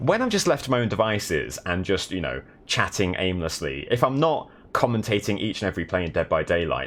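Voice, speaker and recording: This man has a fairly low pitch, very wide pitch swings, and vocal fry. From south of England. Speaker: live streamer. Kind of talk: casual live-stream chat while gaming.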